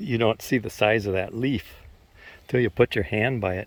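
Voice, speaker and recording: The voice is loud. It moves at a moderate pace. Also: man. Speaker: recreational trike rider vlogger. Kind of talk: casual ride-along narration. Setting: outdoors, riding a recumbent trike on trails. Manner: talking kind of loud.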